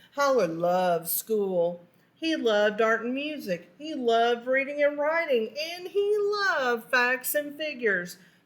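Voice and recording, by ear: Slowly and with lively intonation, a woman speaks at a high pitch.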